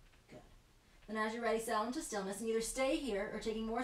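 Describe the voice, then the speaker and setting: A woman talks at a very fast pace with ordinary pitch variation. The room gives an audible echo. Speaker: yoga teacher. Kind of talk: guided yoga class.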